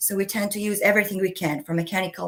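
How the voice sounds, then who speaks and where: A woman at medium pitch, speaking at a very fast pace. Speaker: scientist presenting a research project. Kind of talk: presentation. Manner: hesitant, many filler sounds.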